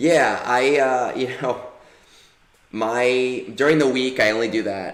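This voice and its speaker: Audible room echo surrounds a man who speaks very slowly at medium pitch with fairly even intonation. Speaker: gaming streamer. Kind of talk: casual chat.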